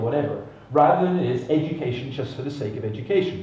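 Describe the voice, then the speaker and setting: A fairly high-pitched man at a very fast pace with audible room echo. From Scotland. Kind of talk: conference talk. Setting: stage with audience. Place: stage.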